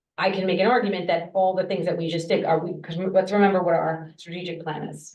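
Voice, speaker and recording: A woman with a fairly low pitch speaks in monotone, flat intonation amid audible room echo. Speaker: school board member. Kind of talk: board meeting discussion.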